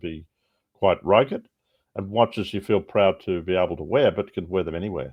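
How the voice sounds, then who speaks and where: This is a man with an Australian accent. His pitch is very deep and low. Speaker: watch brand co-founder. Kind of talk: podcast interview.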